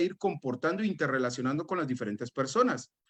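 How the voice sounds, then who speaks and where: This is a man talking. His voice leaps up and down across a very wide range. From Guatemala. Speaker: business and life coach. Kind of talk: motivational talk.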